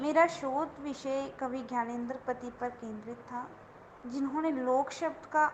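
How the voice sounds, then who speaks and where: In a Dogri accent, a woman speaks at a high pitch with fairly even intonation. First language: Dogri (speaking Hindi). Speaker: guest lecturer in Hindi. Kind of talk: interview. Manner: formal.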